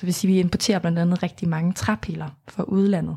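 A somewhat breathy woman's voice with fairly even intonation, on a very clean recording against a silent background. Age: 20s. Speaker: climate activist. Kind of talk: interview. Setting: studio.

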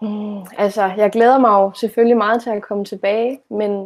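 A woman speaks at a moderate pace in a normal speaking voice, her pitch fairly high. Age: 20s. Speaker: teacher-training student. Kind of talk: conversational interview.

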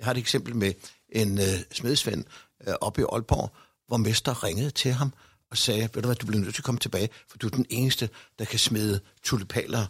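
A man speaks at medium pitch and a moderate pace with fairly even intonation and long, frequent pauses, recorded very cleanly against a silent background with a dry, close sound and no echo. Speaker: director of senior citizens' organisation. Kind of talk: discussion. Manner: hesitant with fillers.

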